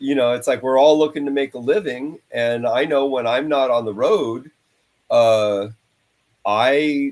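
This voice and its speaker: Using an ordinary speaking voice, a man speaks fairly slowly at medium pitch with ordinary pitch variation. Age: 60s. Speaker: touring rock guitarist. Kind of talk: casual interview chat.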